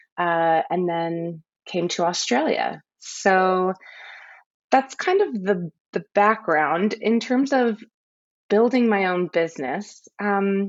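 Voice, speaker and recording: In an American accent, a woman speaks at a medium pitch and a very slow pace with lively intonation. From US, Central California. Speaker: photographer. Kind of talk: interview. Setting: podcast recording.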